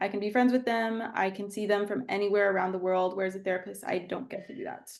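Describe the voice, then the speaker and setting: A very fast-talking woman at medium pitch with a Texan accent. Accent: Texan American English. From Texas, San Angelo. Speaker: therapist and coach. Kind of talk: casual chat.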